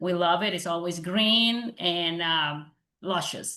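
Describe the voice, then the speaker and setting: In a Spanish accent, the speaker talks at a fairly slow pace with a bright, sharp tone and ordinary pitch variation. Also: woman. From Panama. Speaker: lawyer and realtor. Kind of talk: presentation.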